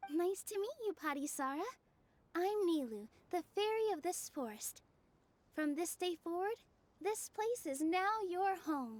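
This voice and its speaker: A female-sounding put-on character voice at an extremely high pitch and a moderate pace. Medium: video game. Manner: soft, warm.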